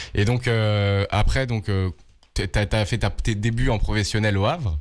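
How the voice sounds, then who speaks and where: A man speaks at a fairly low pitch on a very clean recording with a silent background. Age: 20s. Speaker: podcast host. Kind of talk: podcast interview. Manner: casual, hesitant.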